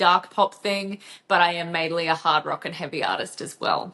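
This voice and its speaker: A woman speaks with an Australian accent at a moderate pace. Her intonation is monotone and flat. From Australia, Gold Coast, Queensland. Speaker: rock vocalist. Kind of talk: casual interview chat.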